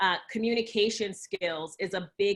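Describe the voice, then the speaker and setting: A woman talks in a New Jersey accent with fairly even intonation. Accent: New Jersey American. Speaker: talent acquisition expert. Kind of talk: webinar Q&A.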